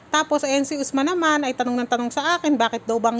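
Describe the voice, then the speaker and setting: A very fast, animated woman with a high pitch, amid noticeable background noise. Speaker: family vlogger. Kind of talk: vlog narration.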